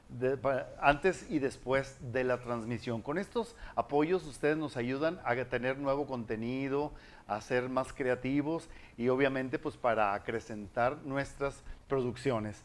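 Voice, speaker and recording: A man talks at a fairly slow pace in an ordinary speaking voice. His pitch is medium, with ordinary pitch variation. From Monterrey, Mexico. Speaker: online talk show host. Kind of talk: livestream talk show.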